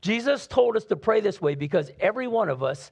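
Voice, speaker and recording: A man speaks in an animated, warm tone with very wide pitch swings. The background is quiet. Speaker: pastor. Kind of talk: sermon. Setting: church with live congregation. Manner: animated, warm, conversational preacher's delivery with rhetorical questions.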